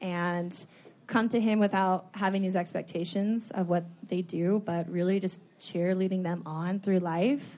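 Against a quiet background, a woman with an ordinary speaking voice talks at a fairly slow pace, her medium pitch held in fairly even intonation. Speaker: fitness motivational coach and reality TV contestant. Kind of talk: live podcast conversation, advice-giving. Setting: stage with audience.

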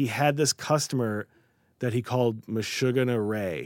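A man speaks with ordinary pitch variation. He has an unremarkable speaking voice. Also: very clean recording, silent background. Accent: American. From Chicago area and New York. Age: 40s. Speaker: writer. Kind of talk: casual chat. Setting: studio.

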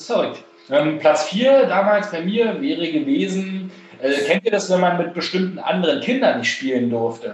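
This man speaks with a high pitch. His intonation is lively. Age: 30s. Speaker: podcast host. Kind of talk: casual chat. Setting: recording from home during quarantine.

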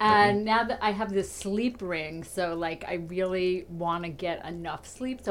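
A woman with an unremarkable speaking voice talks at a moderate pace and medium pitch, with hardly any pauses, ordinary pitch variation and big swings in loudness. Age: 60s. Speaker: stand-up comedian. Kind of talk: casual chat.

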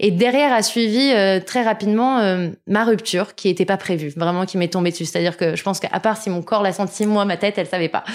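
A woman with a plain, everyday voice speaks at a medium pitch with ordinary pitch variation. Her pace is fairly quick with hardly any pauses, on a very clean recording with a silent background. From Paris suburbs, France. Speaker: magazine founder and entrepreneur. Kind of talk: interview.

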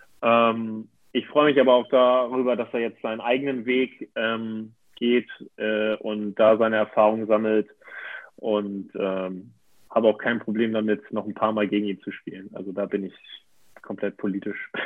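This man speaks at a moderate pace and medium pitch. His intonation stays monotone and flat. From northern Germany, near Hamburg. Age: 20s. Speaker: handball player. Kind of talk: interview. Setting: video call. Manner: hesitant, many fillers.

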